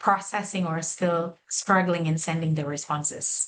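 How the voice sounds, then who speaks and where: A woman in a monotone, flat intonation. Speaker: webinar presenter. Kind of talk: webinar tutorial. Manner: hesitant, many fillers.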